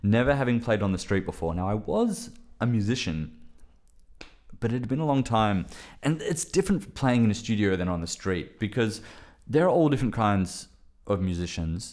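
Speaking in an Australian accent, a man with a fairly low pitch and lively intonation goes at a fairly quick pace, broken by long, frequent pauses. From Western Australia. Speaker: filmmaker. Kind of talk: casual chat.

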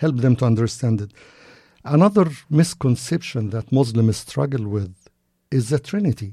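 In a very clean recording with a silent background, a man with an Arabic accent speaks at a moderate pace and medium pitch, somewhat breathy and dark, mellow in tone, with long, frequent pauses. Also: lively intonation. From Egypt, Cairo. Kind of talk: interview.

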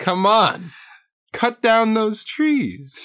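A female-sounding voice does a put-on character at a fairly high pitch. The recording is very clean, with a silent background. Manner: commanding, menacing.

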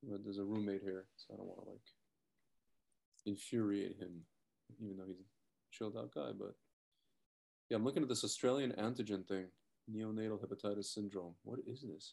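Soft-spoken and fairly low-pitched, a man with a dark, mellow tone moves at a fairly quick pace, with long, frequent pauses and big swings in loudness. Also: ordinary pitch variation. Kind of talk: casual chat. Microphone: laptop mic, hard to hear.

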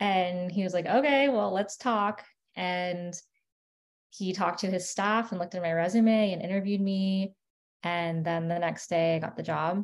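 A woman talks at a moderate pace with a medium pitch. Her intonation stays fairly even. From South Florida, West Palm Beach. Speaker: medical student. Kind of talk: interview. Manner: calm.

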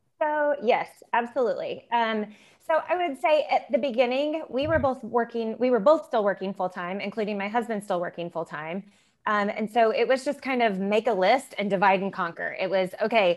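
Against a quiet background, a woman with a US Midwestern accent speaks in a fairly high pitch with lively intonation. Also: moderate pace. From Indiana, US Midwest. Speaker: small business co-owner. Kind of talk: podcast interview.

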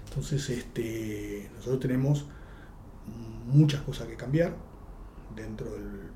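A man's loudness swings widely as he speaks with long, frequent pauses in a room with audible echo. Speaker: judge. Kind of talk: interview. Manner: halting, repeats words.

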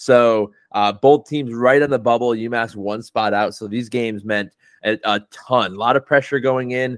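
This man has an ordinary speaking voice at a medium pitch, with fairly even intonation and a moderate pace. The sound is dry and close, with no echo. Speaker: podcast host. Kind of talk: casual podcast recap and rant.

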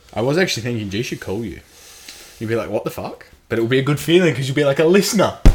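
A man with a somewhat breathy, medium-pitched voice talks at a very fast pace with lively intonation. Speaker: podcast co-host. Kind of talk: casual banter podcast chat.

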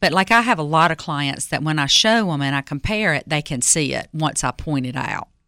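With a very deep, low pitch and a bright, sharp tone, a woman speaks at a fairly quick pace with ordinary pitch variation in a dry, close sound with no echo. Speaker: interior designer. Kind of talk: call-in radio show. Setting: radio studio.

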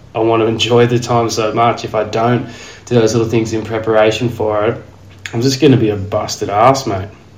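A man talks at a fairly quick pace in a monotone, flat intonation. Noticeable background noise and audible room echo are present. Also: medium pitch for a man. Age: 30s. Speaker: podcast host. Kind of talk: casual chat.

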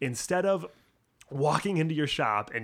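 A man with a plain, everyday voice, a fairly quick pace and ordinary pitch variation, on a very clean recording with a silent background. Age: 30s. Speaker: bike shop employee, podcast host. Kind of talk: casual chat.

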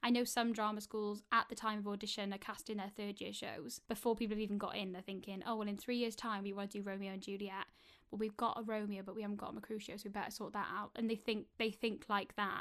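A woman with a Welsh accent speaks at a very fast pace in a monotone, flat intonation, with hardly any pauses. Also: medium pitch for a woman. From Wales. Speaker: actor. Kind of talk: interview.

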